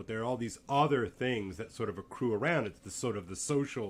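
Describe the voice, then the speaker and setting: Speaking at a fairly quick pace, a man with an American accent uses ordinary pitch variation. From US South, Louisiana. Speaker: podcast host. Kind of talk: casual conversation. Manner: halting, many repetitions.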